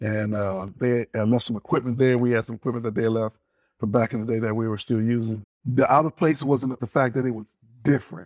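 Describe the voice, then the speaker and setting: A plain, everyday voice: a man with an American accent, medium pitch, fairly even intonation and a fairly quick pace, in a dry, close sound with no echo. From Detroit, Michigan. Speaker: former teacher, airline employee. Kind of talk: interview, personal reminiscence.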